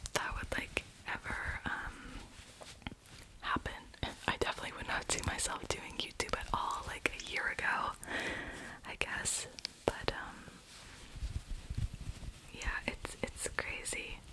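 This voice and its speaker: A whispered voice, broken by long and frequent pauses, comes through over noticeable background noise. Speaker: ASMR creator, university student. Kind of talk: ASMR whisper ramble. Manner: casual, chatty.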